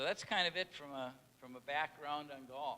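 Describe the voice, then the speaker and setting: Someone with a northern Minnesota accent speaks at a moderate pace in a bright, sharp tone. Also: man. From northern Minnesota, International Falls. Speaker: hall of fame inductee. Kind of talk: acceptance speech.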